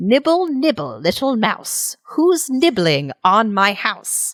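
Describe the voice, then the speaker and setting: A put-on character voice, female-sounding and fairly high in pitch, with very wide pitch swings at a very slow pace. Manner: sing-song taunting call.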